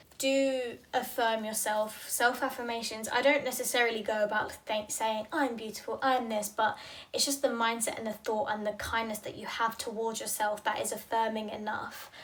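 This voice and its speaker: Over noticeable background noise, a woman with a British accent speaks at a fairly high pitch in a flat monotone, with hardly any pauses. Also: moderate pace. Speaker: fitness professional and podcast host. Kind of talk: casual monologue podcast. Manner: rambling, halting with restarts.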